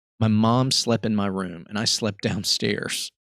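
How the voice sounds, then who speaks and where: A normal speaking voice with fairly even intonation sounds dry and close, with no echo, on a very clean recording with a silent background. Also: man. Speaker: podcast host. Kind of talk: ghost story reading.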